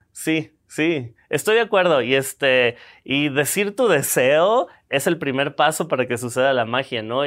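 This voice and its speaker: A plain, everyday voice speaks at a fairly slow pace with lively intonation. The recording is very clean, with a silent background. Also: man. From Mexico. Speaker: film producer. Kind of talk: interview.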